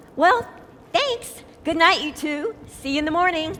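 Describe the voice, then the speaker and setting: A woman's put-on character voice, squeaky and extremely high, at a moderate pace with lively intonation. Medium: audio drama. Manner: tight, strained politeness.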